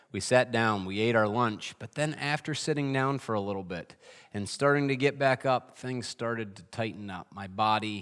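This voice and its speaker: An unremarkable speaking voice from a man at medium pitch, with ordinary pitch variation. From upstate New York (Adirondacks). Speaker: pastor. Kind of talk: sermon.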